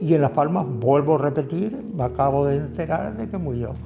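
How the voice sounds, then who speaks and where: A man's lively intonation carries over music in the background. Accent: Canarian. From Canary Islands, Tenerife (La Orotava). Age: 70s. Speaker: community activist. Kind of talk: interview answer.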